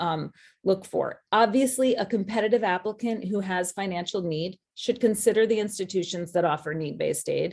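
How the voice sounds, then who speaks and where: A woman with an ordinary speaking voice talks with hardly any pauses and ordinary pitch variation. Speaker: college admissions advisor. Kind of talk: webinar presentation.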